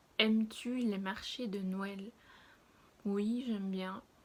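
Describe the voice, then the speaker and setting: A woman speaks at a medium pitch in a somewhat breathy voice. Her intonation stays flat and monotone. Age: 20s. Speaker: lifestyle vlogger. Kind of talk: casual vlog chat. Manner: hesitant, many fillers.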